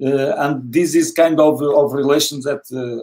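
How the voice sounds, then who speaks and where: In a fairly high pitch and fairly even intonation, a man talks at a moderate pace against a quiet background. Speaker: football coach. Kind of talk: panel interview. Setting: video call. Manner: halting. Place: home room.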